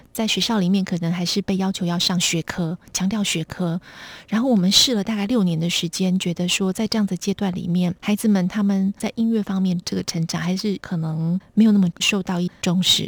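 Soft-spoken and somewhat breathy, the voice moves at a fairly quick pace with fairly even intonation. The sound is dry and close, with no echo. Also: woman, medium pitch for a woman. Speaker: foundation executive director. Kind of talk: radio interview.

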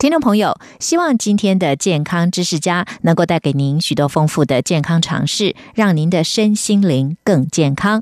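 With a normal speaking voice, a woman talks at a moderate pace with lively intonation. Her loudness stays very even, and she hardly pauses. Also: fairly low pitch for a woman. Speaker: radio host. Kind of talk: radio announcement; interview.

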